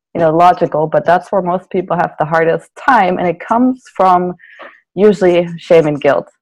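A German accent marks this voice. The speaker moves at a fairly quick pace. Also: woman. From Germany. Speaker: naturopathic doctor and psychotherapist. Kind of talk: interview.

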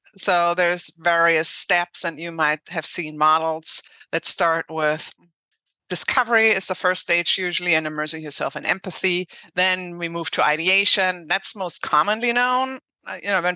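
With a German accent, a woman speaks at a moderate pace in a fairly low, bright, sharp voice with ordinary pitch variation, the sound dry and close with no echo against a quiet background. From Germany. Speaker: HR consultant and founder. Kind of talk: casual interview conversation.

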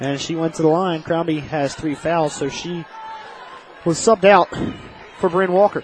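A man with a high pitch speaks at a moderate pace with fairly even intonation, taking long, frequent pauses. Crowd noise can be heard in the background. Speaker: radio play-by-play announcer. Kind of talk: live sports commentary. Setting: radio broadcast from gym. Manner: steady, even, focused on the action.

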